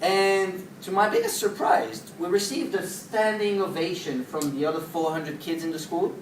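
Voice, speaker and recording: The speech moves at a moderate pace with hardly any pauses over noticeable background noise. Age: young. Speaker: social entrepreneur giving a talk. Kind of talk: inspirational talk.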